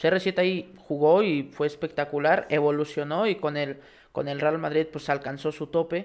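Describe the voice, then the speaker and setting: A man's plain, everyday voice, fairly high in pitch, over a quiet background. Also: fairly even intonation, moderate pace. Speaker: sports podcast co-host. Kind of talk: casual sports chat.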